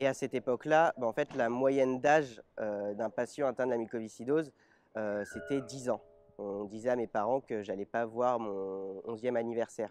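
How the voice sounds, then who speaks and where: Against a quiet background, a man of medium pitch speaks at a moderate pace with ordinary pitch variation, in a dry, close sound with no echo. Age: 20s. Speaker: interviewee, double lung transplant patient with cystic fibrosis. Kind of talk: personal testimony interview. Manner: hesitant, frequent filler 'euh'.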